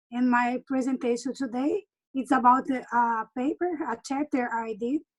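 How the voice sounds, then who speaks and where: Pitched high, a woman talks at a moderate pace with ordinary pitch variation. The sound is dry and close with no echo. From Brazil, Minas Gerais (Uberlândia). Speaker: university professor. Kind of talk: self-introduction. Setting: video call.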